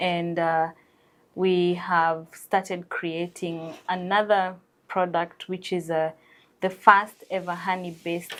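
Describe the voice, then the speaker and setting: A woman with a Kenyan accent speaks at a fairly slow pace, her fairly low voice keeping a fairly even intonation. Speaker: entrepreneur. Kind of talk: TV interview.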